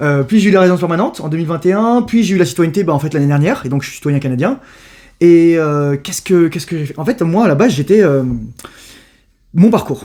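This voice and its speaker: Very fast with long, frequent pauses, a man speaks in a high pitch with lively intonation and a dark, mellow tone. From Paris, France. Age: 30s. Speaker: youtuber. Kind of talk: casual interview. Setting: at home.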